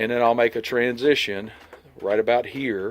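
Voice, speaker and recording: A man speaks at a moderate pace in a medium pitch, his intonation fairly even. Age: 60s. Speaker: homesteader vlogger. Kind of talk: outdoor tutorial walkthrough. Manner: casual, hesitant with fillers.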